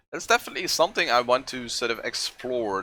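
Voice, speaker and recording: The speaker is a man with a Dutch accent. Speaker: art streamer. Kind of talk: casual livestream chat while painting. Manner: halting, many fillers.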